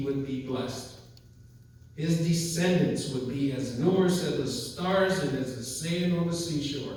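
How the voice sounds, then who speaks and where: Moving at a moderate pace with fairly even intonation, a man speaks over noticeable background noise. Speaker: preacher delivering a sermon. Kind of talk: church sermon.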